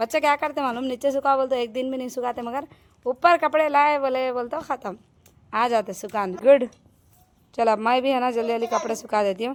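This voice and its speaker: Loud and high-pitched, a woman speaks with ordinary pitch variation on a very clean recording with a silent background. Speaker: family vlogger, homemaker. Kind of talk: casual vlog narration.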